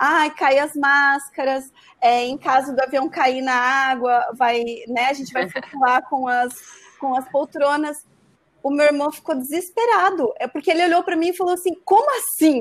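High-pitched female voice, moderately paced, its pitch varying in an ordinary way. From Santa Catarina, Brazil (rural interior, Rio Negrinho). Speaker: business owner. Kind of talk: casual chat.

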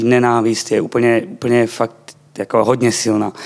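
Here a man talks fairly slowly at a medium pitch. His intonation is monotone and flat. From eastern Slovakia. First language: Slovak (speaking Czech). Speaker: church member, Bible school graduate. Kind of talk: testimony.

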